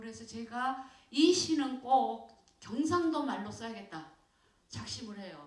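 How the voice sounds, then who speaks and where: At a very slow pace, a voice with a Jeolla accent makes very wide pitch swings, with audible room echo. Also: woman. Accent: Jeolla dialect, retained. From South Korea, Jeolla (Sinan, Mokpo). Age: 60s. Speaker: poet. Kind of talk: audience talk with Q&A. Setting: stage with audience. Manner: halting, many fillers.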